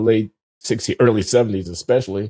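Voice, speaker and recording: Speaking with an American accent, a man has a dark, mellow tone at medium pitch. The sound is dry and close with no echo, in a very clean recording with a silent background. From US Midwest, Chicago South Side. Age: 70s. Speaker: economist and show host. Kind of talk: casual chat. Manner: halting, many fillers.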